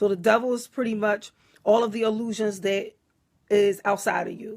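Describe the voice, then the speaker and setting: At a fairly quick pace, a woman with an American accent talks in a fairly high pitch. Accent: Philadelphia accent, noticed by viewers. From US Northeast, Philadelphia. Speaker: spiritual teacher, livestreamer. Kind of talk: live stream talk reading viewer comments. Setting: Facebook Live. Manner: casual, conversational.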